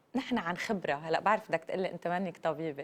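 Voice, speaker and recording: A woman uses a plain, everyday voice with lively intonation at a moderate pace. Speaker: TV morning show host. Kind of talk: TV interview.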